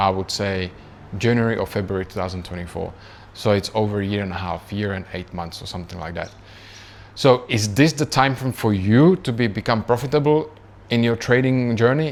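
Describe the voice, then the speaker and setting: With a Czech accent, a man talks at a moderate pace, his fairly low voice showing ordinary pitch variation. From Czech Republic. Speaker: trading youtuber. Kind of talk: casual personal story vlog. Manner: conversational with many fillers.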